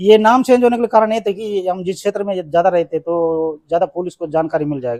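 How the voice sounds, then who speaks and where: A man speaks at a moderate pace with hardly any pauses, in a high-pitched yet dark, mellow tone with ordinary pitch variation. The sound is dry and close, with no echo. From Chhattisgarh near Andhra border (Bastar). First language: Telugu (speaking Hindi). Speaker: former Maoist rebel. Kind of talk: interview.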